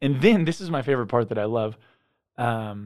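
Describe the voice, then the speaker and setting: An ordinary speaking voice: a man with an American accent at medium pitch, with ordinary pitch variation and a fairly quick pace. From US West Coast, San Diego. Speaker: pastor. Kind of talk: casual discussion. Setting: studio.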